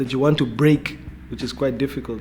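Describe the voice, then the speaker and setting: A man speaks at medium pitch in a monotone, flat way. There is noticeable background noise. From Namibia. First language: Oshiwambo. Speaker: rapper. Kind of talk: interview. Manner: halting.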